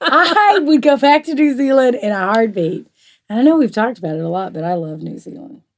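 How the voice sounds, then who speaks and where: In a Southern US accent, a woman speaks at a high pitch with very wide pitch swings and big swings in loudness. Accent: southern US drawl. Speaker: quilting talk show co-host. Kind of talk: casual chat.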